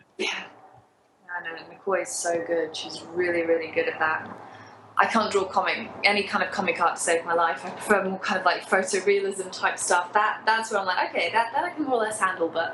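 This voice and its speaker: With a British accent, a woman talks at a fairly quick pace, medium pitch and ordinary pitch variation, in audible room echo with noticeable background noise. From UK. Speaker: novelist. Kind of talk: casual interview. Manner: quiet, low energy.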